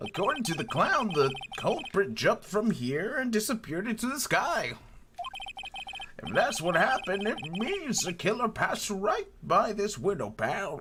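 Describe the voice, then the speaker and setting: Putting on a character voice, a man speaks at a high pitch. His pitch swings very widely. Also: moderate pace. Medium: virtual streamer. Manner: blunt, casual, keeps calling people "pal".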